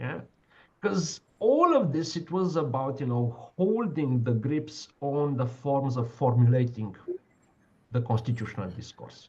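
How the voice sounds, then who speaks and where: Somewhat breathy and medium in pitch, a man speaks at a fairly slow pace with lively intonation. Audible room echo surrounds his voice. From Romania. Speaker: law professor. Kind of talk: lecture Q&A discussion. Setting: online video call. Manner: halting, many fillers.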